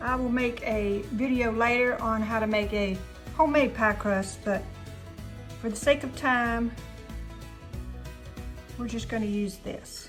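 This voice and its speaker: Music plays behind a woman speaking in a Southern US accent. Her fairly high voice is marked by long, frequent pauses. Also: fairly even intonation, fairly slow pace. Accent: Southern American. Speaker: home cook. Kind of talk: cooking tutorial to camera. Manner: casual, friendly.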